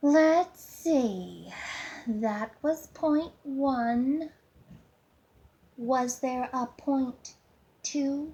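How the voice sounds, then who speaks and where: Putting on a whiny character voice, a woman speaks at a high pitch and a very slow pace with long, frequent pauses. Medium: read story. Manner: sarcastic, smug, teasing.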